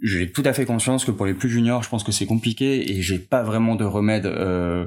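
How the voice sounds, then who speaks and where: At a moderate pace and medium pitch, a man speaks with fairly even intonation on a very clean recording with a silent background. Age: 30s. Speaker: freelance product designer. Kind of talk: casual interview. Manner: hesitant, many fillers.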